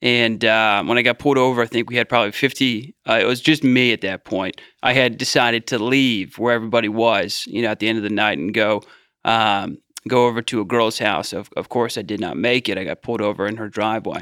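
The voice has a bright, sharp tone and fairly even intonation, moving at a fairly quick pace in a very clean recording with a silent background. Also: man, medium pitch for a man. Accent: American. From US Midwest, Cincinnati Ohio. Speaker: addiction recovery leader. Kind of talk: interview testimony.

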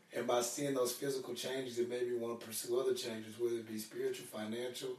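There is audible room echo and noticeable background noise. A man with an American accent speaks at a medium pitch with fairly even intonation. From Arkansas, US. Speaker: fitness business owner. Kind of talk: interview.

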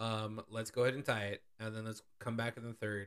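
A man with an American accent speaks at a fairly quick pace. He has a normal speaking voice at a medium pitch. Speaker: sports podcast co-host. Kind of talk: casual chat.

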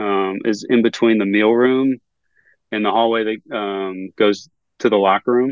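Here a man talks fairly slowly in an American accent. His fairly low voice stays monotone and flat. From North Carolina (Greensboro). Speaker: sports video producer. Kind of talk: casual interview chat.

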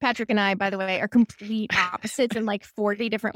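A woman speaks very fast at a medium pitch, her tone bubbly. The recording sounds dry and close, with no echo. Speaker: therapist and private practice coach. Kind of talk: casual chat.

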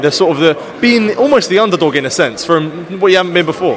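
A high-pitched male voice at a very fast pace with ordinary pitch variation, over noticeable background noise. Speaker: boxing interviewer. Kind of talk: interview. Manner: halting.

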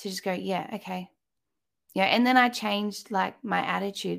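A woman speaks with an Australian accent. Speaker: motherhood coach and podcaster. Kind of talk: casual interview chat. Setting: video call.

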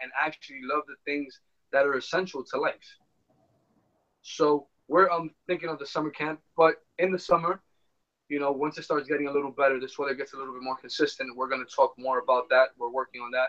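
Here a man with an American accent uses an ordinary speaking voice, fairly high in pitch, at a fairly quick pace. His intonation is fairly even, and the sound is dry and close with no echo. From New York City (uptown Manhattan). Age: 20s. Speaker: amateur baseball player and brand co-founder. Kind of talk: casual interview.

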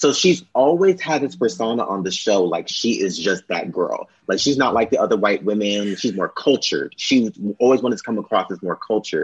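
Hardly pausing, a man with an American accent talks at a fairly quick pace and medium pitch, with lively intonation. He has a normal speaking voice. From Los Angeles. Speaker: podcast guest. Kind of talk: casual chat.

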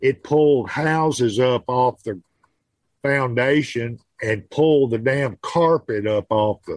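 A man's very slow, medium-pitched voice with a Southern US accent, ordinary pitch variation, and a dry, close sound with no echo. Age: 60s. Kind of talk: casual chat. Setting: video call.

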